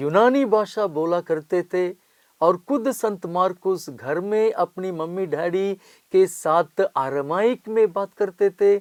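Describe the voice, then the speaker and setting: Against a quiet background, a man talks in a high voice with ordinary pitch variation. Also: dry, close sound with no echo. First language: non-Hindi Indian language (speaking Hindi). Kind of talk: Bible study lecture.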